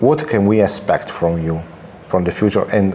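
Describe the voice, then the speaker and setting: Amid noticeable background noise, a fairly low-pitched man talks at a moderate pace in an Italian accent. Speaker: interviewer. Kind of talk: interview. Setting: comics convention.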